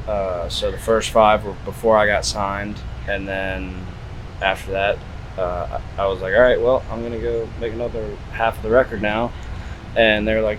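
A man speaks with long, frequent pauses. Noticeable background noise and audible room echo surround his voice. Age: young. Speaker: country singer-songwriter. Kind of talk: interview. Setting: music festival.

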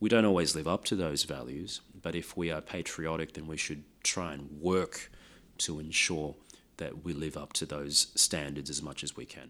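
A man in an Australian accent speaks with a very deep, low pitch and a bright, sharp tone at a moderate pace. His intonation is fairly even, his loudness swings widely, and the recording is very clean with a silent background. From Australia, Sydney. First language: Lao. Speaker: race discrimination commissioner. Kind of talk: interview.

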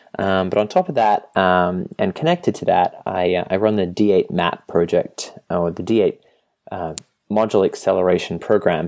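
A man with an Australian accent talks at a medium speed. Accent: Australian, non-rhotic. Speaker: software product manager. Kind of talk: interview. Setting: Skype call.

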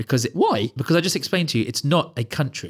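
A man with an English accent, ordinary pitch variation, and a very clean recording over a silent background. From England. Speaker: podcast guest. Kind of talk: casual debate. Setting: studio.

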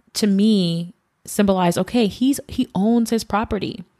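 A woman with an ordinary speaking voice at medium pitch and a fairly slow pace, dry, close and echo-free on a very clean recording with a silent background. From US, Haitian family. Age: 30s. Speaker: podcast co-host. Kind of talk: casual chat.

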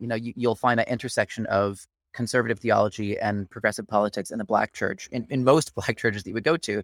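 A man with an American accent at medium pitch, talking at a very fast pace with hardly any pauses and ordinary pitch variation, in a very clean recording with a silent background and a dry, close sound with no echo. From Kansas, US. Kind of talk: podcast interview.

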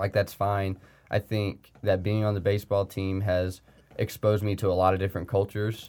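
On a very clean recording with a silent background, a man speaks fairly quickly in a flat monotone at a fairly low pitch. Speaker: college baseball player. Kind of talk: casual interview.

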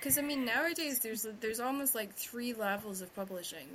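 A woman speaks with a Scottish accent. Her pitch varies in an ordinary way. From Scotland. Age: 30s. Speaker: podcast host and romance author. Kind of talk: casual chat. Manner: fast talker.

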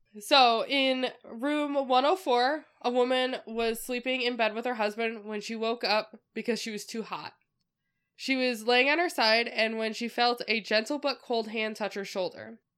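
A woman's plain, everyday voice at a fairly high pitch, fairly slow pace and ordinary pitch variation, in a very clean recording with a silent background. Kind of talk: narrating a ghost story from notes, with playful banter. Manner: casual storyteller, dry and amused, cracking jokes.

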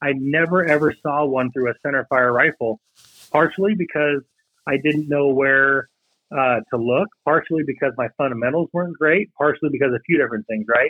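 A man with a fairly high pitch talks in an unremarkable speaking voice, his pitch varying an ordinary amount. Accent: American. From western Washington State, US. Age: 30s. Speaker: target manufacturer, sponsor. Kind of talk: casual interview.

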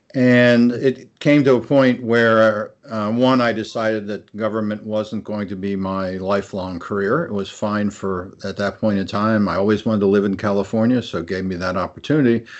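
A man's normal speaking voice, fairly low in pitch, at a moderate pace with hardly any pauses. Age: 60s. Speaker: retired architect and theme park executive. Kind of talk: interview.

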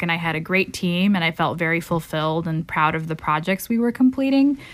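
A woman talks at a fairly quick pace in a normal speaking voice. Her pitch is fairly low, and the recording is very clean with a silent background. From Chicago suburbs, US Midwest. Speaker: MBA student and nonprofit consultancy founder. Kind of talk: interview.

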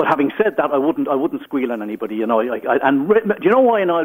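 A man with an Irish accent, very fast pace, fairly high pitch, very wide pitch swings, and noticeable background noise. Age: 60s. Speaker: caller. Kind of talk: radio phone-in. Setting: phone call.

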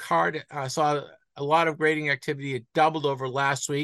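At a moderate pace, a man speaks in a bright, sharp tone against a quiet background. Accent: slight Boston. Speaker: sports card market podcast host. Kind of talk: casual chat. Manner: halting.

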